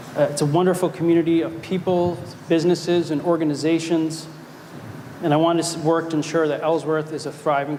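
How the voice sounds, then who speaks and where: Against noticeable background noise, the voice moves at a fairly quick pace with monotone, flat intonation. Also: man. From Maine (South Portland). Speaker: city council candidate. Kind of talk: candidate forum speech.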